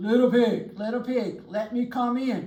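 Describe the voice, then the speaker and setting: A put-on character voice, fairly high in pitch, at a fairly slow pace. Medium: read story. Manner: sly.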